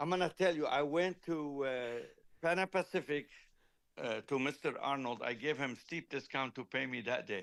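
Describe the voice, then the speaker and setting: An ordinary speaking voice from a man, fairly high in pitch with ordinary pitch variation, at a moderate pace in a very clean recording with a silent background. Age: 60s. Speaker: car audio company founder and engineer. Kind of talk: casual chat.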